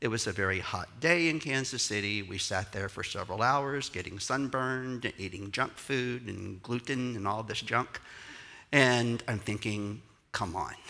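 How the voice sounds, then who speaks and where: A man speaks with a Texan accent at a medium pitch and a moderate pace. His tone is bright and sharp, and his delivery is animated. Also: ordinary pitch variation. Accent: Texan Southern US. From Texas. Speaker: pastor and choreographer. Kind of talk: sermon. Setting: church with audience.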